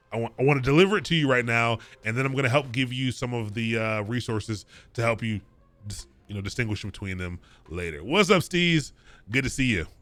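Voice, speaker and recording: Over music in the background, a man with an American accent talks very fast at medium pitch with lively intonation. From Maryland, Prince George's County near DC. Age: 30s. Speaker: coding instructor. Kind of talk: live-streamed lecture. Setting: live stream. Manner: casual, many fillers.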